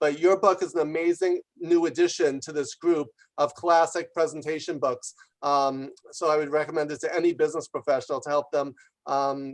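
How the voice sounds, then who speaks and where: Speaking with a New York accent, a man uses a fairly high-pitched voice. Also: fairly even intonation. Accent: New York American. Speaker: business author and executive. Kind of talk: congratulatory remarks on video call. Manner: fast.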